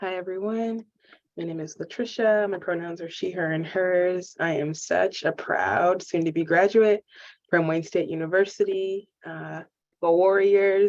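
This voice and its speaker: A woman with an American accent has an ordinary speaking voice at a medium pitch. She speaks at a fairly slow pace with fairly even intonation and big swings in loudness. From US South, Memphis, Tennessee. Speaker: social work student. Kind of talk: acceptance speech.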